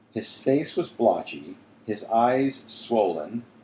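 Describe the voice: The speech is plain reading aloud. Its intonation stays fairly even.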